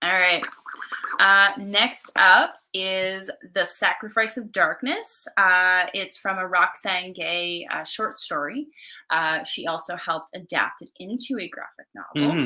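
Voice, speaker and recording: A woman speaks in a bright, sharp tone with ordinary pitch variation. Her loudness swings widely. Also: medium pitch for a woman, fairly slow pace, very clean recording, silent background. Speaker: comics podcast host. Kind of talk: casual chat.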